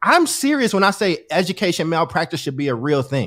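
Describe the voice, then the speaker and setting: High-pitched man with an animated tone, fairly quick pace, very clean recording and silent background. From US Midwest/South (Chicago, Kentucky). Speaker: education advocate, guest. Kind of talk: casual conversation.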